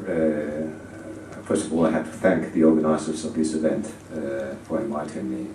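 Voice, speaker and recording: A man's very deep, low voice at a moderate pace, with audible room echo and noticeable background noise. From Spain. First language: Spanish. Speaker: ambassador. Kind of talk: conference speech. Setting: conference audience. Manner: hesitant, many fillers.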